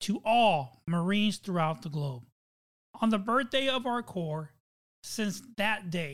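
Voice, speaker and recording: The recording is very clean, its background silent. A man talks fairly slowly, his intonation lively. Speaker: podcast host. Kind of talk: high-energy themed podcast opening, then scripted reading. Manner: loud, animated, drill-instructor bark; formal, measured reading.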